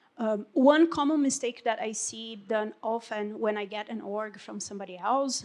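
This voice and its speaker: A woman speaks with a Portuguese accent. Her pace is fairly slow. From Brazil. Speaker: Salesforce consultant. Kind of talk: panel discussion. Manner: halting.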